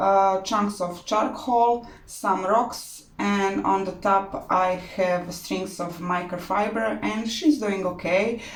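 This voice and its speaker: Audible room echo around a woman talking very slowly. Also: medium pitch for a woman, ordinary pitch variation. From Croatia. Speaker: orchid grower, hobby channel host. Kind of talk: tutorial. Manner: halting, many fillers.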